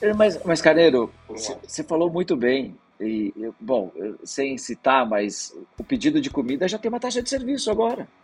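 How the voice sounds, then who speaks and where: At a moderate pace, a man with a high pitch speaks with very wide pitch swings. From interior of Brazil (raised mostly outside São Paulo city). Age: 40s. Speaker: startup investment executive. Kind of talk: podcast interview.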